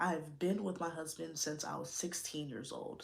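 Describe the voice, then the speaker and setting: In a room with audible echo, a woman speaks in an animated tone at a moderate pace. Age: 20s. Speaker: YouTuber, podcast host. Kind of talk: livestream chat.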